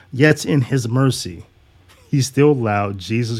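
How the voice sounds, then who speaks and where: Here a man speaks with ordinary pitch variation. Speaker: substitute teacher. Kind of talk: angry rant, indignant sermon-like monologue against church culture. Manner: fiery, indignant, scornful, emphatic, with sarcastic laughs; solo monologue, talkative and casual when off topic.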